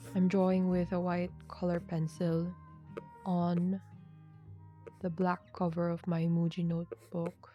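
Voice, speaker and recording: Soft-spoken and calm, a woman talks at a very slow pace in a fairly low pitch, with long, frequent pauses, monotone, flat intonation and very even loudness. Music plays in the background. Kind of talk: ASMR sketching chitchat, soft-spoken narration of drawing process. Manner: soft-spoken, calm.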